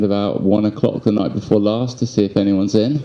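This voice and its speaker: A man speaks with a London accent. His pitch is fairly low. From England, London. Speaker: resident speaking at community meeting. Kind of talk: testimony. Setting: public community meeting.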